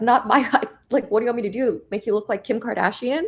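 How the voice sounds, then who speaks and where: A woman talks very fast with an animated tone. Her voice sits fairly high. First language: Korean. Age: 30s. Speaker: trader and former photographer. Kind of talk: casual chat.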